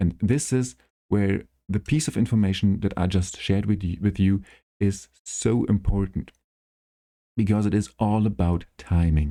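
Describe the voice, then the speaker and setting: A man with a non-native accent speaks in a dark, mellow tone with ordinary pitch variation and very even loudness. The recording is very clean, with a silent background. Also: fairly low pitch for a man, moderate pace. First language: not English. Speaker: gaming YouTuber. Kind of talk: tutorial. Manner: halting.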